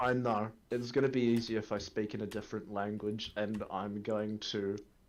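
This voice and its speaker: Speaking with an Australian accent, a man holds a fairly low pitch in monotone, flat intonation. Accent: southern Australian drawl. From rural Australia. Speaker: gaming streamer. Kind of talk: casual chat.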